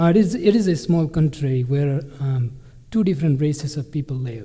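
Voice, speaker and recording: Dark, mellow tone from a man with a Nepali accent, fairly high-pitched and somewhat breathy, with ordinary pitch variation at a moderate pace. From Bhutan, Nepalese background. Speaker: refugee scholarship recipient. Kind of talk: conference presentation. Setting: stage with audience.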